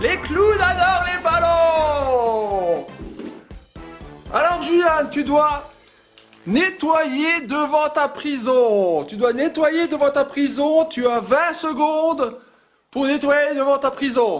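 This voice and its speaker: A man cackles in a put-on character voice at an extremely high pitch, over faint music in the background. He goes at a very slow pace with long, frequent pauses. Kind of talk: family sketch comic villain. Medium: comedy sketch. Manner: cackling, taunting.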